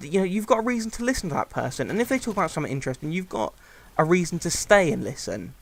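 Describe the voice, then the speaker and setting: A man talks at a very fast pace with a high pitch and very wide pitch swings. The recording is very clean, with a silent background. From UK. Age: 20s. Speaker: gaming YouTuber, commentator. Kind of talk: gameplay commentary, casual monologue. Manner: hesitant, many fillers.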